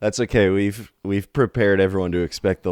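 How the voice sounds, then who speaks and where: The speech moves at a fairly quick pace, with a dry, close sound with no echo against a quiet background. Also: man. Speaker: podcast co-host. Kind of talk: casual chat.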